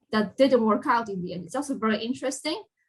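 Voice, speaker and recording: Somewhat breathy and fairly high-pitched, a woman speaks with a non-native accent. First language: not English. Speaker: games industry professional, college alumna. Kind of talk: Q&A talk. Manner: animated.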